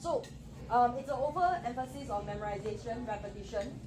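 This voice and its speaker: Audible room echo and music in the background surround the speaker. A woman talks at a very fast pace. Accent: strong Singaporean. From Singapore. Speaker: education presenter. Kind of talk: presentation to audience.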